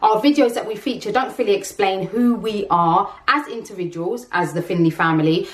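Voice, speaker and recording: A woman's lively intonation comes through noticeable background noise as she talks at a moderate pace. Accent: London. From London, England. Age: 30s. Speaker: vlogger. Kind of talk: casual vlog talk.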